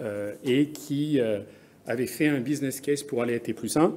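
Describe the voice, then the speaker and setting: Here a man speaks with an English accent. His pitch is medium, with ordinary pitch variation. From France. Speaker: business executive, conference speaker. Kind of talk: conference presentation. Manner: halting, many hesitations.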